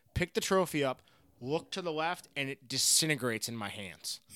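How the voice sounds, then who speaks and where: In a dry, close sound with no echo and a very clean recording over a silent background, a man with an American accent speaks in an ordinary speaking voice of fairly high pitch with ordinary pitch variation. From Florida. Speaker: former professional golfer. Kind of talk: casual interview.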